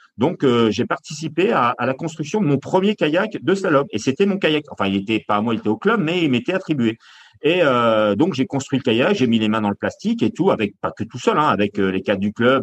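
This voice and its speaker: This man speaks at a moderate pace in a medium pitch. His pitch swings very widely. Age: 50s. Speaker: Olympic canoe medalist and coach. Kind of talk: interview. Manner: halting, with many repetitions and fillers.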